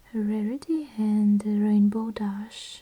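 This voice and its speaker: Someone whispers softly at a very slow pace over noticeable background noise. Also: woman. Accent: Russian. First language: Russian. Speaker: ASMR creator. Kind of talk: ASMR book reading, soft-spoken. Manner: soft, whispering, relaxing.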